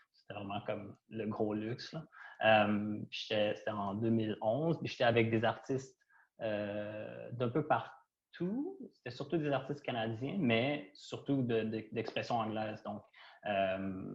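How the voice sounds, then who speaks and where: A man talks at a very slow pace and a medium pitch with ordinary pitch variation. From Quebec, Trois-Rivières. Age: 30s. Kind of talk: panel discussion. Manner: hesitant, many fillers.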